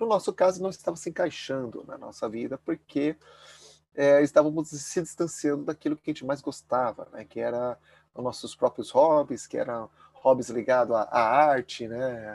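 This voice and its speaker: Moderate pace, ordinary pitch variation and big swings in loudness, in a dry, close sound with no echo. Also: man, fairly high pitch for a man. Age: 40s. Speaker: former finance professional turned minimalist lifestyle advocate. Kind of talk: casual interview chat. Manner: halting, many fillers and repetitions.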